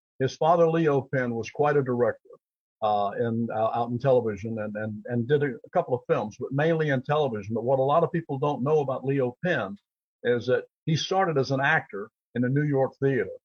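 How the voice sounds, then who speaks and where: Somewhat breathy medium-pitched man, fairly quick pace, ordinary pitch variation. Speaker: actor and author. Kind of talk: interview.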